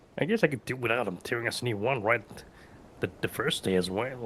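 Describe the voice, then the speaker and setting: In a put-on character voice, a man talks at a very fast pace and a medium pitch. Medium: actual play. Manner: chatty, jovial.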